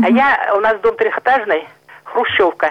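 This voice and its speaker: Fairly high-pitched woman over noticeable background noise. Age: 80s+. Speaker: caller. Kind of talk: phone-in complaint. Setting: phone call. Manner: halting.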